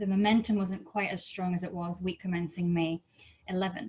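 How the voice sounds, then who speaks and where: The voice is somewhat breathy. It moves at a moderate pace with ordinary pitch variation. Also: woman. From Scotland, Edinburgh. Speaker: business development manager. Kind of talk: webinar presentation.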